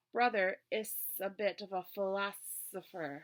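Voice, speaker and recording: A female-sounding, put-on character voice hisses as it speaks. It sits at a medium pitch and moves at a fairly slow pace. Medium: read story. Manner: hissing.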